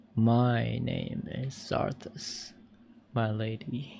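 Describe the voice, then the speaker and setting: A put-on character voice, low in pitch and very slow in pace. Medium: actual play.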